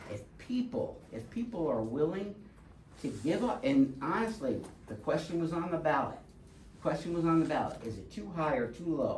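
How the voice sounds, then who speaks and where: At a moderate pace, this speaker talks with an American accent against noticeable background noise. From Connecticut, US (Windsor Locks). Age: 60s. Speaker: resident speaking at public comment. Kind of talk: public comment at town board meeting. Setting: town board meeting. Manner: halting, with many fillers.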